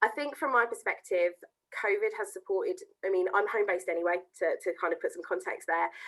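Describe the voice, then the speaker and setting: A woman with a southern English accent at a very fast pace. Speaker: education account manager. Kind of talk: interview.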